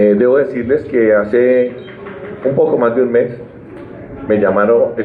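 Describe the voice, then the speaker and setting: Amid noticeable background noise and audible room echo, a man speaks at a fairly slow pace, medium-pitched with fairly even intonation. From Colombian Llanos (eastern plains). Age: 60s. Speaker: Senate candidate, civil engineer. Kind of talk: press conference speech. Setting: press conference. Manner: emphatic, passionate.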